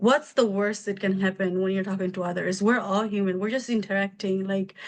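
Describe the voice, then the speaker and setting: At a fairly quick pace, a woman speaks with a medium pitch and fairly even intonation. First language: not English (English is third language). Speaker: medical billing business owner. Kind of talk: interview.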